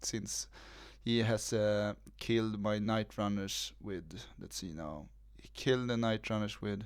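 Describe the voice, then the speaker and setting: A man mumbles in a put-on character voice, fairly low in pitch and at a fairly slow pace. The recording is very clean, with a silent background. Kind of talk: casual, tabletop game talk. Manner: mumbling.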